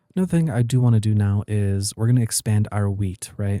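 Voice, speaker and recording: Quiet and dark, mellow in tone, a man speaks with a fairly low pitch and fairly even intonation in a dry, close sound with no echo on a very clean recording with a silent background. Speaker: gaming youtuber. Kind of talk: let's play commentary. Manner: quieter, late-night recording; casual, filler-heavy.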